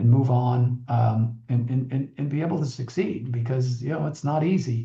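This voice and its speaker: A man with an American accent speaks at a moderate pace and medium pitch, somewhat breathy and dark, mellow in tone, with fairly even intonation. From Buffalo, New York, USA. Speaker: Navy veteran pilot, former pro football player, finance executive. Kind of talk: radio interview answer.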